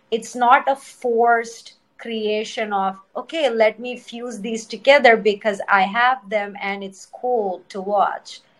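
A woman with an Indian accent speaking at a very slow pace, her fairly high voice showing ordinary pitch variation and big swings in loudness. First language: Telugu. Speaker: dancer and choreographer. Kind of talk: casual interview chat. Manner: eloquent, thoughtful.

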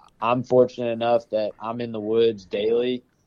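Speaking at a moderate pace, a man with a Southern US accent has a medium-pitched voice. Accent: Southern US (Georgia). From Georgia, US South (Powder Springs near Atlanta). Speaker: forester and bird hunter. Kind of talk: casual chat.

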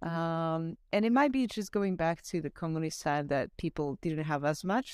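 A woman speaks at a moderate pace in a Slovak accent, her pitch fairly low. The sound is dry and close, with no echo. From Slovakia. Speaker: paramedic and nurse. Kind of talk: casual chat. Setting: video call.

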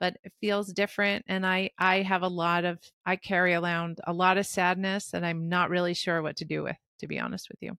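A woman with an American accent talks fairly quickly at medium pitch in a bright, sharp tone, with monotone, flat intonation, big swings in loudness and a dry, close sound with no echo. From New Jersey. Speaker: surgeon and hospice doctor. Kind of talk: interview.

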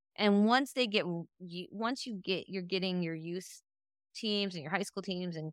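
A woman with an American accent speaks at a moderate pace in a medium pitch, her tone bright and sharp with ordinary pitch variation. The recording is very clean with a silent background, and the sound is dry and close with no echo. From Northeastern Ohio, US. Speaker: sports podcast co-host. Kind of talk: casual chat.

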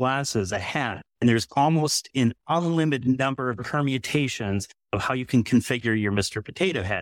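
A man with an ordinary speaking voice, medium pitch, ordinary pitch variation and a fairly quick pace, in a very clean recording with a silent background and a dry, close sound with no echo. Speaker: analytical chemist and testing lab founder. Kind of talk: panel discussion. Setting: stage with audience.

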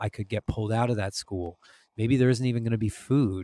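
Heard on a very clean recording with a silent background, a man uses an ordinary speaking voice at medium pitch and a fairly quick pace. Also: dry, close sound with no echo. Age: 40s. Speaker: musician and podcaster. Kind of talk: casual chat.

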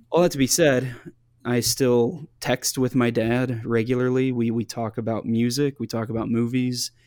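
A man with a normal speaking voice, medium pitch, fairly even intonation and a moderate pace. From US Midwest, small town in northeast Kansas. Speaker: pastor and writer, former talk radio host. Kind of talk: interview, personal testimony. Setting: video call.

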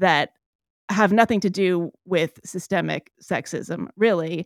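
A woman's normal speaking voice at medium pitch, with ordinary pitch variation and a fairly slow pace, on a very clean recording with a silent background. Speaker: author and podcast host. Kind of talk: casual interview conversation.

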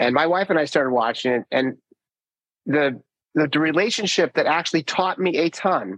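A man speaks over a quiet background. The sound is dry and close, with no echo. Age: 50s. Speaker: podcast host. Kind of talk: casual interview conversation.

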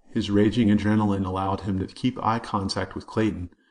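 What comes through is a natural reading voice.

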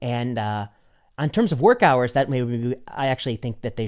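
A man with a plain, everyday voice speaks at a fairly quick pace. His medium pitch stays fairly even. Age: 40s. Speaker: physician and podcast host. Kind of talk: casual chat. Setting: studio.

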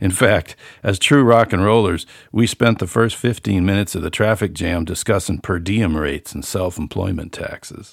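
A plain, everyday voice from a man with an American accent, fairly low in pitch, with ordinary pitch variation and a moderate pace. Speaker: author and musician, podcast host. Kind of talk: casual solo monologue, reading an essay. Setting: home studio, room above garage. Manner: relaxed, folksy, conversational.

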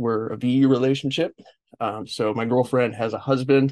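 A man with a Californian accent and fairly even intonation. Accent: Californian American. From Los Angeles, US. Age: 40s. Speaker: podcast host. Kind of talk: interview conversation.

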